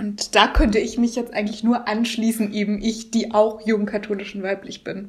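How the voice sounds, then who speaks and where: A woman's fairly high, monotone voice with flat intonation and hardly any pauses, over noticeable background noise. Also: moderate pace. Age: young. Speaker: podcast host. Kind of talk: scripted introduction; interview.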